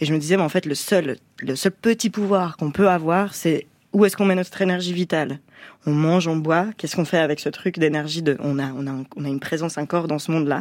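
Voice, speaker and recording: An unremarkable speaking voice moves at a fairly quick pace with ordinary pitch variation, in a very clean recording with a silent background. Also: woman. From French-speaking Switzerland. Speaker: musician. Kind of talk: radio interview. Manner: casual.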